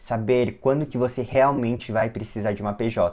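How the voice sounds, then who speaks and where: This man has a plain, everyday voice. He talks at a moderate pace. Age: 20s. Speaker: physician and lecturer. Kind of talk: lecture.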